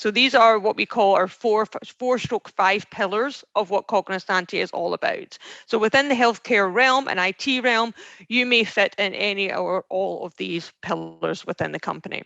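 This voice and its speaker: A woman with a Scottish accent speaks at a medium pitch with ordinary pitch variation, vocal fry and a bright, sharp tone, in a dry, close sound with no echo over a quiet background. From Scotland. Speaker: recruiter, veteran outreach specialist. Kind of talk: presentation. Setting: video call. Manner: fast.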